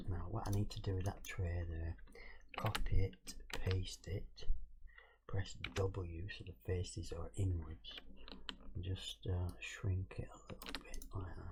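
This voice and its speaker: Quiet mumbling at a very slow pace, broken by long, frequent pauses. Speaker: game modding tutorial streamer. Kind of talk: tutorial. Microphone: cheap mic with noise filter, keyboard audible.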